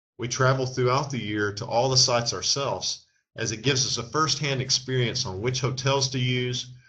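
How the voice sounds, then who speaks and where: A man with a Texan accent, medium pitch, a bright, sharp tone, fairly even intonation and a moderate pace, against a quiet background. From Texas. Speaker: travel agency owner. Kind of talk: sales pitch.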